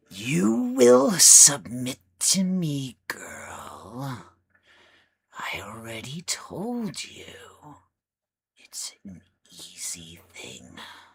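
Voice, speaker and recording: A man in a put-on character voice of medium pitch, at a very slow pace with long, frequent pauses. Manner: dark, menacing.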